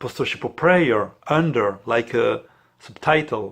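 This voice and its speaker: The speaker has a non-native accent. The delivery comes at a very slow pace. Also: man. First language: not English. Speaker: priest, international director of a prayer network. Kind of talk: explanatory talk to camera. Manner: halting, with many fillers.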